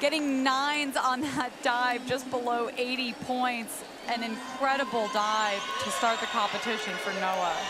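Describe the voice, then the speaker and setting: A woman's high pitch with fairly even intonation, crowd noise behind her. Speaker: sports commentator and interviewer. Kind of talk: live sports commentary. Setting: swimming and diving arena broadcast.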